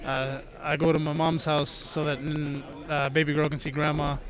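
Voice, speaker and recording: In a fairly high, monotone voice with flat intonation, a man speaks amid audible room echo and noticeable background noise. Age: 30s. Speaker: wrestler. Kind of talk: casual chat.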